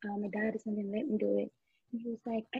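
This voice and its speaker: A woman talks at a very fast pace. Her voice is somewhat breathy. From Nigeria. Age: 30s. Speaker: makeup artist and beauty brand founder. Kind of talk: casual interview chat.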